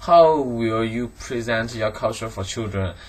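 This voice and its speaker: A man speaks at a medium pitch with a Chinese accent. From China, Guangdong. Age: 20s. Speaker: student. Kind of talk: monologue answering interview questions. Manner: halting, many fillers and restarts.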